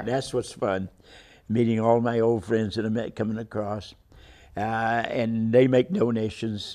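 In an American accent, a dark, mellow tone moves at a fairly slow pace with monotone, flat intonation against a quiet background. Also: man. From Kansas, grew up partly in Los Angeles area. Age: 80s+. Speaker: World War Two Navy veteran and long-distance runner. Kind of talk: interview answer. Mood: warm, reminiscing. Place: studio. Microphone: lapel.

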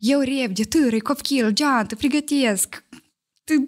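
A high-pitched woman at a moderate pace against a quiet background. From Moldova. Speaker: podcast guest, mother; podcast guest. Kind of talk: casual chat. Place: studio. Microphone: studio mic.

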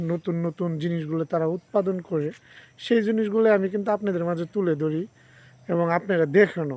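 This man has a high pitch, a dark, mellow tone and ordinary pitch variation. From Sherpur district, northern Bangladesh. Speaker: village vlogger with a day job. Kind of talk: casual vlog monologue to viewers.

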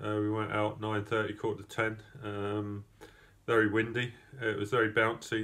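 A man speaks in a fairly low pitch with monotone, flat intonation. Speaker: rower giving a race report. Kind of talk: casual spoken report. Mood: relaxed, reflective, some laughs. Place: home room. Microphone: phone near.

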